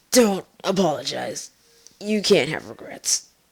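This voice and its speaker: A put-on character voice, raspy and at a middle pitch, moves along at a fairly slow pace. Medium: read story. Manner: calm, terse, matter-of-fact.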